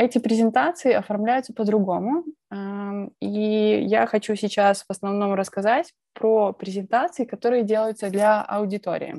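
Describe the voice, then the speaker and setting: A woman talks in a dark, mellow tone with ordinary pitch variation. The sound is dry with no echo, and the background is quiet. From Belarus, Minsk; Belarus. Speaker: presentation skills speaker; speaker. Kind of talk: conference talk. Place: home room. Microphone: earbuds.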